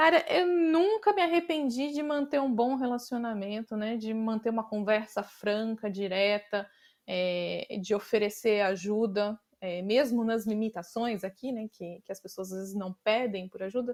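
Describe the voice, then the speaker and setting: A woman with a normal speaking voice, fairly high in pitch, talks at a fairly slow pace with lively intonation. The recording is very clean, with a silent background. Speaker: design leader. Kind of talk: interview conversation.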